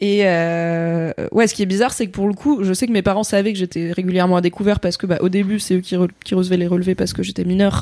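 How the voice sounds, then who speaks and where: Delivered at a very fast pace with hardly any pauses, the dark, mellow voice keeps a fairly even intonation on a very clean recording with a silent background. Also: woman, medium pitch for a woman. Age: 30s. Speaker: content creator. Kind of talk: casual interview chat.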